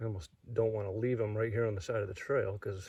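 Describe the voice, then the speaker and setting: Fairly low in pitch and somewhat breathy, a man talks at a very fast pace. His intonation stays fairly even. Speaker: snake-hunting vlogger. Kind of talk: outdoor vlog narration. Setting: outdoors on a trail.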